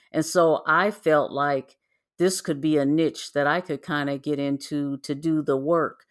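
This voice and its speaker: A woman's very deep, low voice with an American accent, fairly even intonation and a fairly slow pace on a very clean recording with a silent background. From US Midwest. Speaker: program analyst and genealogy researcher. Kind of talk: casual interview.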